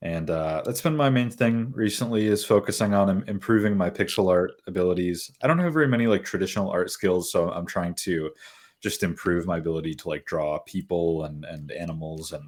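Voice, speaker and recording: A man with a Michigan accent speaks at a fairly quick pace with hardly any pauses, his very deep, low voice carrying lively intonation. The recording is very clean, with a silent background. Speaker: pixel artist. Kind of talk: casual chat. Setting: live stream.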